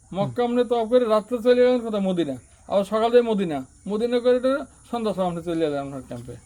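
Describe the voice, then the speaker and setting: This man speaks in a high voice with lively intonation. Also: big swings in loudness. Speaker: former migrant worker in Saudi Arabia. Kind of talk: interview.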